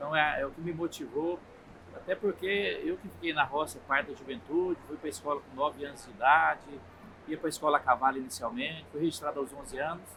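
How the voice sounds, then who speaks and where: Delivered at a fairly quick pace, an ordinary speaking voice shows ordinary pitch variation and big swings in loudness. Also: man, fairly high pitch for a man. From Minas Gerais, Brazil (Triângulo Mineiro). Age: 60s. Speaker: federal politician, agronomist. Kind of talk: interview. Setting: agricultural fair.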